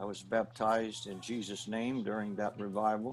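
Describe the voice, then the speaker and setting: Here a man talks with a Maritime Canadian accent. His pitch is fairly low, and his intonation fairly even. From New Brunswick, Canada. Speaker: pastor. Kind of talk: interview testimony.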